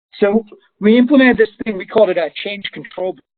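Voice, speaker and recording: This is a man speaking. His pace is very fast. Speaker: software consultant giving a webinar. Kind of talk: webinar presentation. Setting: online webinar.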